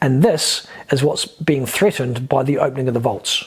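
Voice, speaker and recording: Noticeable background noise runs under a man speaking at medium pitch. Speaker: spiritual teacher and YouTuber. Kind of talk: monologue video lecture. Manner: fast; hesitant fillers.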